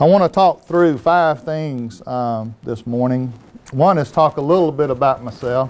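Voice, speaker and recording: A man with a Southern US accent, fairly high in pitch, with ordinary pitch variation and a fairly slow pace. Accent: Southern US (Georgia). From US South (Americus, Georgia). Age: 60s. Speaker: former technology executive. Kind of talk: talk to an audience.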